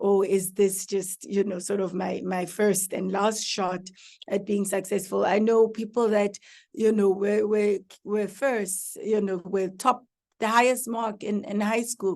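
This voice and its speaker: The woman's pitch sits in the medium range. She talks at a fairly slow pace with fairly even intonation. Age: 40s. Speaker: professor. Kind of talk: motivational talk. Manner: halting, with many repetitions.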